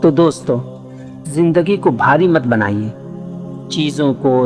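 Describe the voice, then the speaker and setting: With music in the background, a man talks at a fairly high pitch and ordinary pitch variation. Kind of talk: reflective life-lesson narration. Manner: emotional, reflective.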